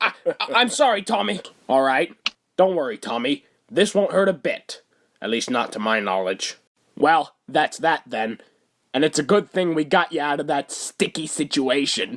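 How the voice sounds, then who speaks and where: In a cartoonish character voice with a fairly high pitch, a man speaks at a moderate pace, leaving long, frequent pauses. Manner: talkative, rambling.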